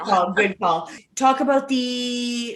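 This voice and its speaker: A plain, everyday voice belongs to this speaker, a woman. It sits at a fairly high pitch. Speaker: podcast host. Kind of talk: podcast interview questions.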